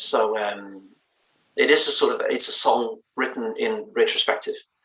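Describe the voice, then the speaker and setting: The speaker talks at a fairly slow pace with a slight Danish accent. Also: man. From Denmark, Bornholm island. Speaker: indie band lead singer. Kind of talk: interview. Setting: live stream interview.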